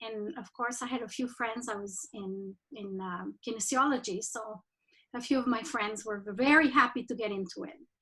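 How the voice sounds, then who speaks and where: A woman speaks with a Spanish accent. Her tone is bright and sharp. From Mexico. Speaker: rugby administrator. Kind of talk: presentation. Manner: halting.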